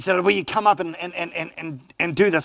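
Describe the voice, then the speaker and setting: This is a man with a high voice. He speaks with a New Zealand accent. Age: 50s. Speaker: pastor. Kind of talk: sermon. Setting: church. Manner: halting.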